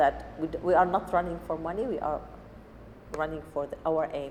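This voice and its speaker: With an Arabic accent, a woman speaks at a very deep, low pitch and a moderate pace, with noticeable background noise. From Syria. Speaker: refugee cooking teacher. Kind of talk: personal testimony interview. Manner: halting non-native speech.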